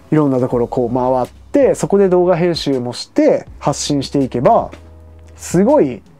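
Fairly high male voice at a moderate pace. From Hokkaido, Kushiro; Hokkaido, Japan. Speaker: travel vlogger. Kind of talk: casual vlog monologue. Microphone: lapel.

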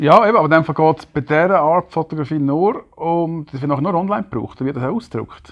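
Speaking very fast with hardly any pauses, a man with a Swiss accent uses a fairly high pitch and ordinary pitch variation against a quiet background. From German-speaking Switzerland. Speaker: podcast host. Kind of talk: casual chat. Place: home room. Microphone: lapel.

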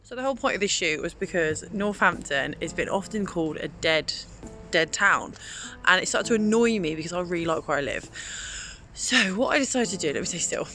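A woman talks at a fairly quick pace, her voice dry with no echo while faint music plays in the background. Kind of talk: casual vlog chat. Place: street. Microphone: phone near.

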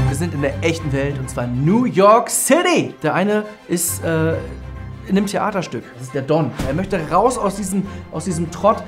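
Over clear background music, a man with a high pitch talks at a moderate pace in a cheerful, confident tone. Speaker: comedian and voice actor. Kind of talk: casual promotional talk to camera about a film. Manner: cheerful, self-confident, joking. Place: studio. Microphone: lapel.

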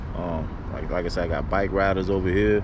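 There is noticeable background noise behind a man whose voice sounds dry, with no echo. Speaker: vlogger. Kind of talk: casual vlog chat. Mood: relaxed, calm. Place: street. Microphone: phone near.

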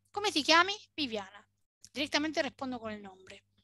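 Raised and projected, a woman's high, bright, sharp voice swings very widely in pitch against a quiet background, with a dry sound and no echo. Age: 40s. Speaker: Italian language teacher. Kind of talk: online language lesson. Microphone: webcam.

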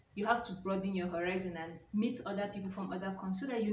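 A woman speaks at a very fast pace. Audible room echo and light background noise fill the recording. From Nigeria. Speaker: YouTuber. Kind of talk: casual vlog talk. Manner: hesitant, many fillers. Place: home room. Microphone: phone near.

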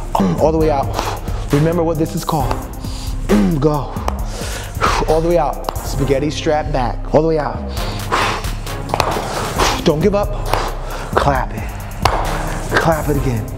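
A man at a fairly slow pace with long, frequent pauses, with clear music in the background. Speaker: fitness trainer. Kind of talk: workout coaching cues. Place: gym.

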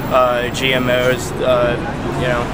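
Loud noise fills the background while the man talks. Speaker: interviewee. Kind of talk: interview answer. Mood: earnest, intense. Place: street.

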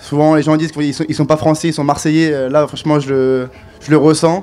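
Fairly quick and monotone, a man talks with flat intonation at a fairly high pitch. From France, Grenoble; France. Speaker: ice hockey player. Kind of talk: interview. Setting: fair stand with audience. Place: hall. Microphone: handheld.

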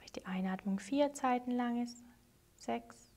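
With a high pitch and a dark, mellow tone, a woman speaks in a soothing, gentle way. Her pace is very slow and her intonation fairly even. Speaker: meditation teacher. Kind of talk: guided meditation, calm spoken instructions. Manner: slow, soothing, gentle; paced with long pauses, measured.

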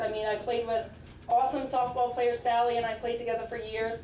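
A woman at a very fast pace and fairly high pitch, flat and monotone, with audible room echo and light background noise. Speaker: college coach. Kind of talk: acceptance speech. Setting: stage with audience. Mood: warm, modest, grateful. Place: hall. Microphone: podium.

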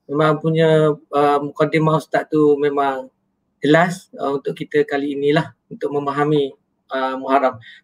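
A man speaks in a plain, everyday voice, fairly high in pitch, at a moderate pace. His intonation is fairly even and the background is quiet. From Malaysia. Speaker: moderator. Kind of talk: moderated discussion. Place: home room. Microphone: webcam.

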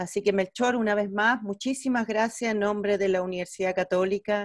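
A woman's voice at a moderate pace with fairly even intonation, dry with no echo, over a quiet background. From Chile. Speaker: physician and medical educator, webinar host; medical educator, webinar host. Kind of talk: webinar moderation. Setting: video call. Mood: warm, grateful. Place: home room. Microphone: earbuds.

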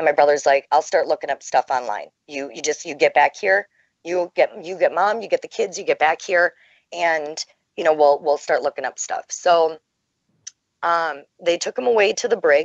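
This is a normal speaking voice from a woman. Her pitch is fairly low, with ordinary variation. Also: moderate pace. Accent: American. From Minnesota, USA. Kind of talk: interview answer.

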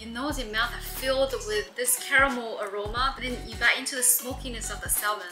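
Clear music plays behind a woman with a high pitch. She talks at a moderate pace with ordinary pitch variation. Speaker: food vlogger. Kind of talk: food review commentary. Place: home room. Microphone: phone near.

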